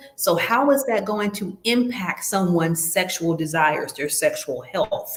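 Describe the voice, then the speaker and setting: Over noticeable background noise, a woman speaks at a medium pitch with lively intonation. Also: fairly slow pace. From US South. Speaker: nurse educator hosting a health webinar. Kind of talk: quiz review in an online webinar.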